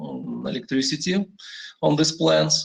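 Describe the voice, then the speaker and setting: A man talks in a Russian accent. His pace is fairly slow. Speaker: industry energy manager. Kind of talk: panel presentation. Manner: halting, many fillers.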